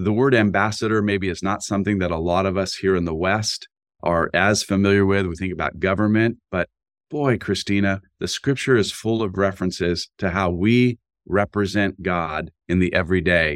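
A man with an unremarkable speaking voice talks at a moderate pace in a fairly low pitch with fairly even intonation, the sound dry and close with no echo. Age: 60s. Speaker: university president and pastor-author. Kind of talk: interview conversation.

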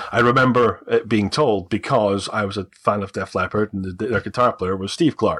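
Speaking with a Scottish accent, a man keeps a fairly quick pace and ordinary pitch variation. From Scotland. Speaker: adoptee. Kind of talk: interview telling personal story. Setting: video call.

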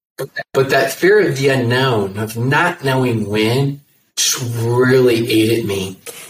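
A man with a medium pitch and a somewhat breathy voice speaks at a very slow pace, with ordinary pitch variation. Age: 40s. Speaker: network marketing coach and speaker. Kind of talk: interview. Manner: soft-spoken, chill.

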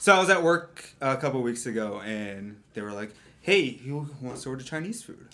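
A man's medium-pitched voice at a moderate pace, with lively intonation, big swings in loudness and noticeable background noise. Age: 30s. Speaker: photographer. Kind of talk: casual chat.

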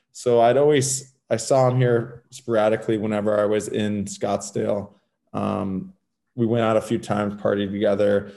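Fairly low-pitched male voice in an American accent, an ordinary speaking voice with fairly even intonation at a moderate pace. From Southern California, Los Angeles. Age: 30s. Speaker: former pro hockey player. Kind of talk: interview.

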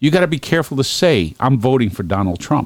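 The voice has vocal fry and very wide pitch swings at a fairly quick pace, in a very clean recording with a silent background and a dry, close sound with no echo. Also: man. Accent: New York. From Brooklyn, New York. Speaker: podcast host. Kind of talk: casual political chat.

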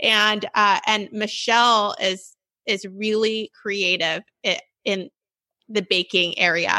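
A woman with an American accent speaks at a medium pitch in a bright, sharp tone. The sound is dry and close with no echo, her intonation fairly even and her loudness very even. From Sacramento, California. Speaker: cookbook author. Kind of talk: casual interview.

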